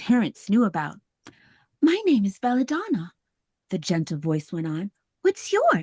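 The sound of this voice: The background is quiet behind an unforced reading voice.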